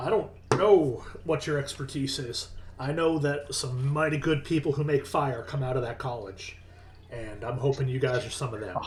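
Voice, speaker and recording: Over clear background noise, a man does a put-on character voice that is raspy and gruff, with a fairly high pitch and a moderate pace. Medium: actual play. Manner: blunt, bossy.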